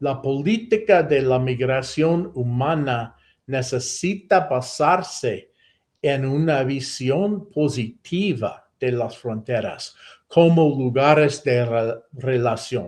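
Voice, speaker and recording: With an American accent, a man with a fairly high pitch talks very slowly and with lively intonation. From United States. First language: English (speaking Spanish). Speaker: professor. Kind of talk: lecture. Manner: halting, many self-corrections.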